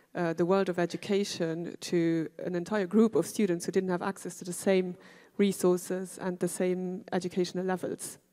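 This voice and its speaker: A woman's medium-pitched voice, dark and mellow in tone, moves at a moderate pace with monotone, flat intonation on a very clean recording with a silent background. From Luxembourg. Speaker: educator. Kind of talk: panel discussion.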